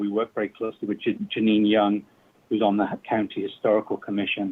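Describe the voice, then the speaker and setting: A fairly low-pitched man with a strong British accent, fairly quick and monotone, with flat intonation. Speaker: public commenter, community football club founder. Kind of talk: public comment at government meeting. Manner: halting, many fillers.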